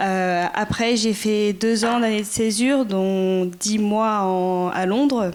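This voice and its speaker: A woman at a very slow pace with hardly any pauses, fairly even intonation and very even loudness, in a very clean recording with a silent background. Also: medium pitch for a woman. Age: 20s. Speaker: former volunteer. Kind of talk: testimony.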